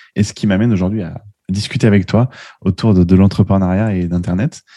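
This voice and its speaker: Against a quiet background, a man speaks at a very fast pace with fairly even intonation. His fairly low voice has a dark, mellow tone. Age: 30s. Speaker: web marketing entrepreneur. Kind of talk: casual interview. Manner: halting, with frequent repetitions.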